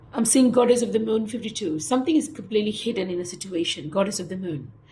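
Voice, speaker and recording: Speaking very fast with lively intonation, a woman with a fairly high voice is heard over noticeable background noise and audible room echo. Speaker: tarot reader. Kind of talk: tarot reading.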